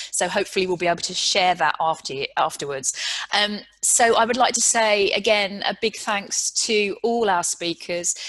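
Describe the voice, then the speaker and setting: In a British accent, a woman speaks at a moderate pace. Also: ordinary pitch variation. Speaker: panel moderator, chief executive; panel moderator. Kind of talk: panel discussion moderation. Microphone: video call.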